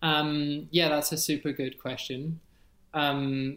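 This is a man speaking in a Scottish accent. The recording is very clean, with a silent background. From Scotland, Edinburgh. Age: 30s. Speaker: erectile health coach. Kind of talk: casual chat.

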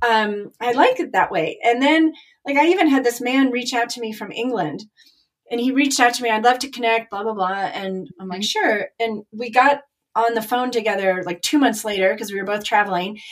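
A woman talks at a fairly quick pace in a normal speaking voice. Her pitch is fairly high. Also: ordinary pitch variation. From Chicago. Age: 50s. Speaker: artist and business owner. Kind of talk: casual chat.

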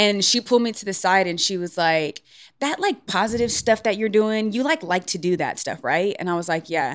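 A woman talks at a fairly quick pace in a plain, everyday voice, medium in pitch. Her intonation is lively, and the recording is very clean with a silent background. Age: 30. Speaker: podcast co-host, inspirational speaker. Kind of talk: casual chat.

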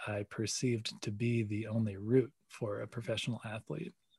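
Against a quiet background, a somewhat breathy man speaks at a medium pitch with fairly even intonation. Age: 30s. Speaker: coffee company CEO and pro snowboarder. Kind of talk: interview. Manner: hesitant, many fillers.

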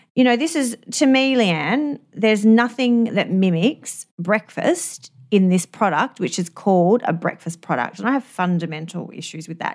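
Talking at a moderate pace and medium pitch, a woman with an Australian accent makes very wide pitch swings in a very clean recording with a silent background. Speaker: dietitian podcast host. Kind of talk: casual chat.

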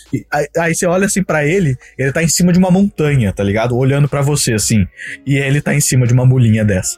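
The sound is dry and close with no echo as a man speaks at a fairly quick pace and fairly high pitch, with lively intonation. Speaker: podcast host. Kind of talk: casual chat. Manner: animated.

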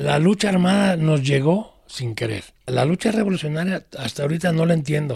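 Using an unremarkable speaking voice, a man talks at a fairly high pitch. He keeps a moderate pace with hardly any pauses. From Guadalajara, Jalisco, Mexico. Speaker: former gang member and activist's brother. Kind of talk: interview testimony.

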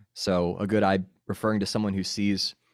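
In a very clean, silent-background recording with dry, close sound and no echo, a man with a plain, everyday voice and an American accent speaks at a fairly low pitch and fairly quick pace. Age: 30s. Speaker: podcaster and former campus minister. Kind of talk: casual interview.

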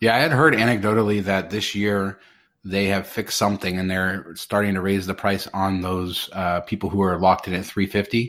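On a very clean recording with a silent background, a man talks in an ordinary speaking voice. He has a fairly low pitch, a fairly quick pace and fairly even intonation. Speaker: podcast host. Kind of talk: casual chat.

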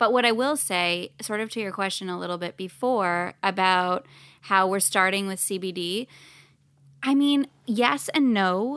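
Over a very clean recording with a silent background, a woman with an unremarkable speaking voice talks fairly slowly at a medium pitch with ordinary pitch variation. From Canada. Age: 30s. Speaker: cannabis brand co-founder. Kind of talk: casual interview chat. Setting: studio.

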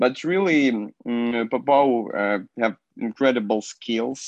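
A man is heard over a quiet background. The sound is dry and close, with no echo. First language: Ukrainian or Russian. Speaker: TV host. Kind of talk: casual chat. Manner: halting.

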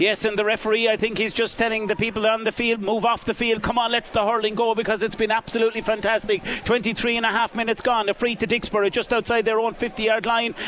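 Over noticeable background noise, a high-pitched man speaks very fast in a flat monotone, with very even loudness and hardly any pauses. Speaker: live radio commentator. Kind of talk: live sports commentary. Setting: outdoors at the ground. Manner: fast, fluent play-by-play delivery.

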